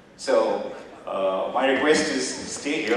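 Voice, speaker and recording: An Indian accent amid strong room echo and light background noise. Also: man. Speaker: business executive and former army officer. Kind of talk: motivational guest talk. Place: hall.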